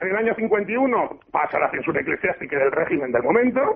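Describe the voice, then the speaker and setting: A man's high-pitched voice at a fairly quick pace. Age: 40s. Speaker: teacher and antiquarian bookseller. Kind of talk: radio interview.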